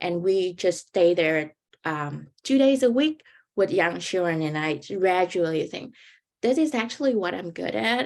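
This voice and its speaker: Speaking at a fairly slow pace in a Vietnamese accent, a woman makes very wide pitch swings on a very clean recording with a silent background. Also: medium pitch for a woman. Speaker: graduate student, panelist. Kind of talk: panel talk, personal story. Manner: informal, halting.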